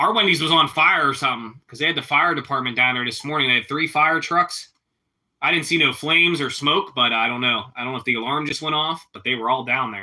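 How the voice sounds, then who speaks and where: Delivered at a very fast pace in a Pittsburgh accent, the speech shows big swings in loudness. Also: man, fairly high pitch for a man, ordinary pitch variation. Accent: Pittsburghese. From Pittsburgh, Pennsylvania. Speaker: live streamer. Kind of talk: casual chat.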